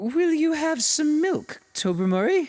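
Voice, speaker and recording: A put-on character voice comes out high-pitched and strained. The delivery is fairly slow. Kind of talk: upper-class, polite. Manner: strained, awkward.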